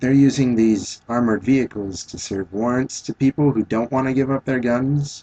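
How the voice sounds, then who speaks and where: A man's mumbling voice, medium in pitch and dark and mellow in tone, with fairly even intonation at a moderate pace, in a dry, close sound with no echo. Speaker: vlogger. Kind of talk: video response monologue. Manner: halting.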